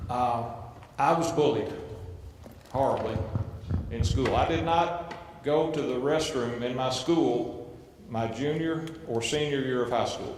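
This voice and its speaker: A man's fairly high voice with ordinary pitch variation, a fairly slow pace and long, frequent pauses, plus noticeable background noise and audible room echo. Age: 50s. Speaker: family court judge. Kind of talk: speech to youth audience. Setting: stage with audience.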